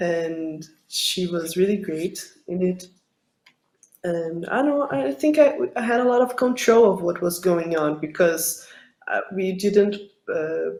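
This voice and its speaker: This woman's pitch sits fairly low for a woman. Her intonation is lively. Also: fairly slow pace. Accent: Portuguese. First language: Portuguese. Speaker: film director. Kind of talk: interview. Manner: halting, many fillers.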